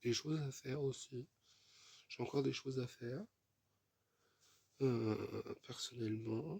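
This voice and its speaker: A man speaks very slowly with long, frequent pauses. His medium-pitched voice is somewhat breathy, with a dark, mellow tone. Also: ordinary pitch variation. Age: 30s. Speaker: vlogger. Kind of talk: casual vlog monologue. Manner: repetitive, hesitant with fillers.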